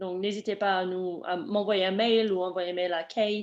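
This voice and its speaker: A woman with a non-native accent speaks at a very slow pace and with fairly even intonation against a quiet background. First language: not French (speaking French). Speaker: webinar presenter, program staff. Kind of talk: Q&A session in webinar. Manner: halting, many fillers.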